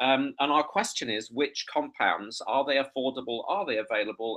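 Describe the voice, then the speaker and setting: A man speaks with an English accent. His pace is moderate. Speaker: entomology professor. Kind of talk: conference presentation. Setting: online video conference. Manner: hesitant, many fillers.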